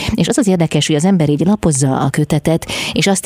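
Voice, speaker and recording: Amid noticeable background noise, a woman with a fairly low voice talks at a very fast pace. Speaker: radio host. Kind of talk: radio interview. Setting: studio. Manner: formal.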